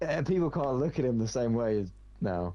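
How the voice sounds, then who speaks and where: In a British accent, a man speaks with a dark, mellow tone. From Britain. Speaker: gaming streamer. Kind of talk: casual chat.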